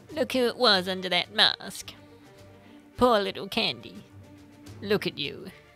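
With faint music in the background, a put-on character voice with a bright, sharp tone moves at a fairly slow pace through big pitch swings. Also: woman, medium pitch for a woman.

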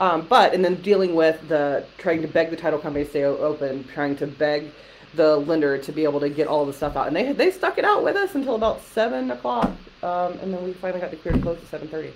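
A woman talks at a very fast pace with a very deep, low pitch. Light background noise can be heard. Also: ordinary pitch variation. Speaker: real estate agent. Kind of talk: casual chat. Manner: fast talker; animated. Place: office. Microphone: webcam.

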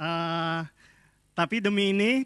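The tone is bright and sharp, with fairly even intonation. The sound is dry with no echo against a quiet background. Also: man. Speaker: film director and workshop instructor. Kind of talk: workshop lecture. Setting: stage with audience. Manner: humorous. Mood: humorous, relaxed. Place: hall. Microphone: handheld.

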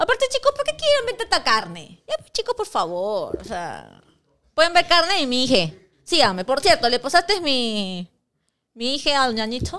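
A woman talks at a moderate pace in an animated tone, her loudness rising and falling sharply. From Peru. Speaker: sports show host. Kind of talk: casual sports talk show. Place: studio. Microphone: studio mic.

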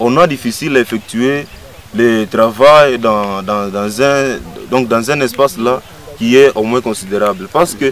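Light background noise runs under a man's voice. He keeps a moderate pace, and the sound is dry with no echo. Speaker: interviewee. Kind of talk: interview answer. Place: open country.

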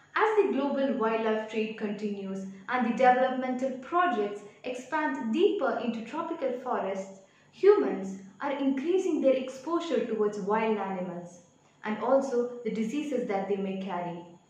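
Her voice high and her intonation lively, a woman talks at a moderate pace with audible room echo. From Kerala, India. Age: young. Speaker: student. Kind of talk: prepared speech for a competition. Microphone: phone near.

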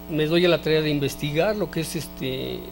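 Music plays underneath the recording. Over it, a man's speech moves at a moderate pace. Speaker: interview guest. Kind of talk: interview answer. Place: studio. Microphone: handheld.

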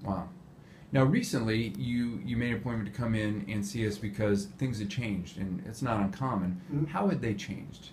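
Somewhat breathy and fairly low-pitched, a man speaks with lively intonation. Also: fairly quick pace. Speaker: pain management physician. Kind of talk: clinical patient interview. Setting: medical clinic.

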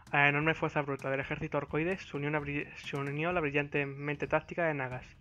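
Moving at a very fast pace, a man's speech sits at a fairly high pitch. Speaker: gaming lore video creator. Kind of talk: game lore narration.

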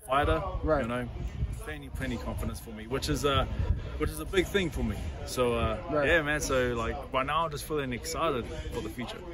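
A man at a fairly quick pace, with clear music in the background and a dry sound with no echo. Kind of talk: interview answer. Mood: upbeat, grateful. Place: street. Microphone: phone near.

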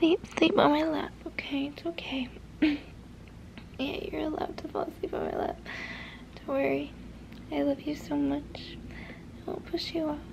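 A soft-spoken woman, long, frequent pauses, light background noise. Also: moderate pace. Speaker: roleplay creator. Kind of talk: soft roleplay talk to viewer. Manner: tender soft reassuring murmur. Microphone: phone near.

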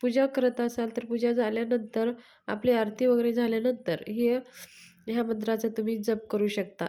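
With a dark, mellow tone, a woman speaks at a fairly high pitch in a monotone, flat intonation. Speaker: devotional YouTuber. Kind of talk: devotional tutorial.

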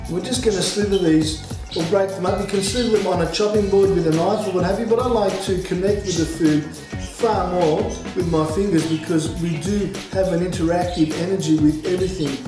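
A high-pitched male voice at a fairly quick pace, with fairly even intonation, audible room echo and clear background music. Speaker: home cooking teacher. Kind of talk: tutorial. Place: kitchen.

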